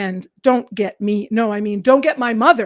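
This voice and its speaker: Her pitch sits in the medium range for a woman. It rises and falls in an ordinary way as this woman speaks. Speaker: teacher. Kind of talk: livestream chat with viewers. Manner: calm.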